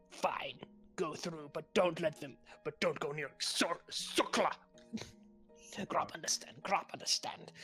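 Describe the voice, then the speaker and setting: A put-on character voice whispers at a fairly slow pace with faint music in the background. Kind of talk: broken, simple speech, refers to self in third person.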